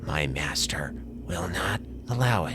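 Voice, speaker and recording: A man's hissing put-on character voice, very deep and low, at a fairly slow pace over loud background noise. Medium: read story. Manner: low, hissing.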